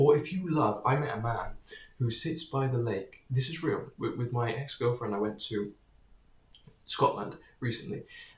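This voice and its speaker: A man talks at a medium pitch in a somewhat breathy voice. He leaves long, frequent pauses. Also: ordinary pitch variation. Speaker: vlogger. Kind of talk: casual monologue. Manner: halting, with repetitions and fillers; rushed.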